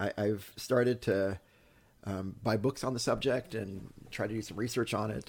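A man speaks in an animated tone. His pitch is fairly low. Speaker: pastor and podcast host. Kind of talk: casual conversation. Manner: animated, jokey, hesitant with many fillers.

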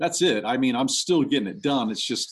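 A quiet background behind a man with an American accent. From Texas, Houston. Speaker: actor and illustrator. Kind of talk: interview. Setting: at home during quarantine.

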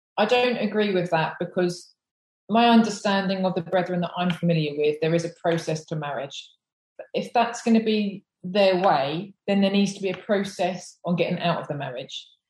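A woman with an English accent talks at a moderate pace in a medium pitch, her voice somewhat breathy and her pitch variation ordinary. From England. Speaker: former police officer. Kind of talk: interview.

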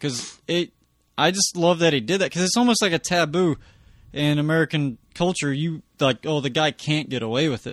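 A man's unremarkable speaking voice, fairly high in pitch, with ordinary pitch variation, a moderate pace and a quiet background. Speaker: comedian guest. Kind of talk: casual chat.

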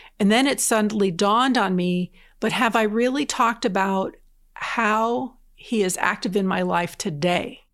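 A plain, everyday voice with an American accent and ordinary pitch variation comes through on a very clean recording with a silent background. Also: woman. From southern New Jersey. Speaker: diocese evangelization coordinator. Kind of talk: casual interview chat. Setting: in-person studio recording.

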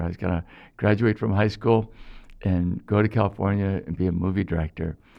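Here is a man with an American accent and an unremarkable speaking voice, pitched fairly low. He talks at a moderate pace with fairly even intonation. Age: 60s. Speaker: priest, former mailman. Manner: jokey, humorous.

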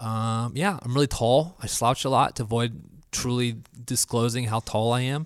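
With an American accent, a man has an ordinary speaking voice at medium pitch, moving at a moderate pace with ordinary pitch variation. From Florida. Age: 20s. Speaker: church media technician. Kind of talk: casual chat.

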